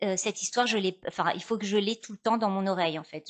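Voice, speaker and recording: The voice holds a fairly even intonation over a quiet background. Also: woman. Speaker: actress, storyteller, voice-over artist. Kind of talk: interview answer. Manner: hesitant, conversational.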